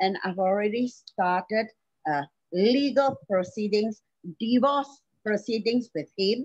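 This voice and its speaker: Here is an ordinary speaking voice from a woman, fairly high in pitch, at a fairly slow pace with ordinary pitch variation. The sound is dry and close, with no echo. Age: 60s. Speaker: domestic violence survivor. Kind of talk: testimony.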